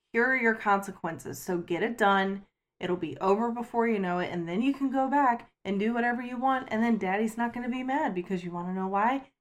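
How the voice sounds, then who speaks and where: A normal speaking voice moves at a fairly quick pace with hardly any pauses. Its pitch varies in an ordinary way. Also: woman, fairly high pitch for a woman. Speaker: step-parent. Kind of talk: casual chat.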